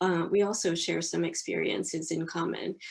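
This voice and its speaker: A normal speaking voice with an American accent moves at a moderate pace with fairly even intonation. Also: woman. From US. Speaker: publishing professional. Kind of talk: interview.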